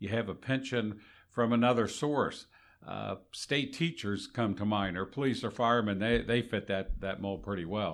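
A man with a normal speaking voice, fairly low in pitch, with ordinary pitch variation and a moderate pace. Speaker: retired Social Security manager, co-host. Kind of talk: casual educational podcast chat.

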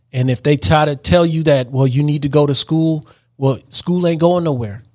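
Moderately paced male speech with ordinary pitch variation, very clean recording and silent background. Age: 50s. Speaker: cycling podcast host. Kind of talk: personal storytelling monologue. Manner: halting, many fillers.

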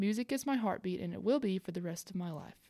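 Speaking very fast with a Southern US accent, a woman uses a medium pitch and ordinary pitch variation. The recording is very clean, with a silent background. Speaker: podcast host. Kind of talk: scripted-style podcast hosting with story readings.

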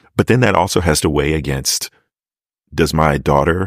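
A man with an American accent, a very deep, low pitch and vocal fry. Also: dry, close sound with no echo. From US, Maryland. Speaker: actor and acting teacher. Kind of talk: casual chat.

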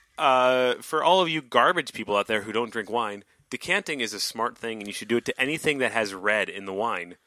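The voice has a bright, sharp, playful tone and lively intonation, moving at a fairly quick pace with hardly any pauses. The recording is very clean, with a silent background and a dry, close sound with no echo. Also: man, medium pitch for a man. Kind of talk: casual chat. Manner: joking, playful.

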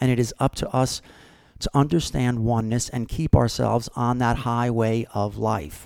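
A man with a plain, everyday voice speaks at a moderate pace with ordinary pitch variation, captured on a very clean recording with a silent background. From New Jersey (Brick). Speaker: podcast host and author. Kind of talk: monologue podcast.

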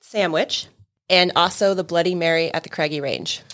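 A woman with an American accent uses a plain, everyday voice at a medium pitch. She keeps a moderate pace and ordinary pitch variation. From California (Sacramento), teens in Montana. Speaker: payroll employee. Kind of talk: casual interview chat.

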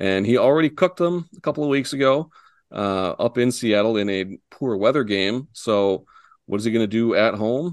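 Using an ordinary speaking voice, a man talks at a moderate pace and medium pitch with lively intonation. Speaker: co-host, stats and betting analyst. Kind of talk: casual chat, sports betting show.

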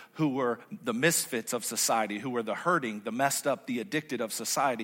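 Fairly high in pitch, this man talks at a very fast pace with lively intonation. His tone is animated, bright and sharp. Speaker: pastor. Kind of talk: sermon.

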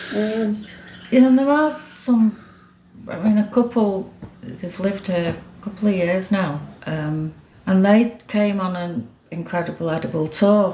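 This woman has a medium-pitched voice and lively intonation. She talks at a moderate pace with a slight Manchester accent. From Greater Manchester, Stockport. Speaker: former mayor and community volunteer. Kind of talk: casual interview. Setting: at home.

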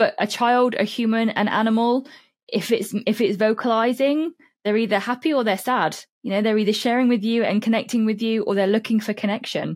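Very clean recording, silent background. The speaker has a British accent, fairly even intonation and very even loudness. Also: woman, fairly high pitch for a woman, fairly quick pace. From UK. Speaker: holistic cat therapist and author. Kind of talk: interview, explaining.

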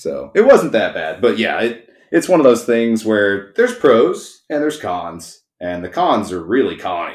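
A man with a Texan accent, talking at a fairly slow pace with hardly any pauses. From East Texas. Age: 30s. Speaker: auto repair shop owner. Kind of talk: casual chat.

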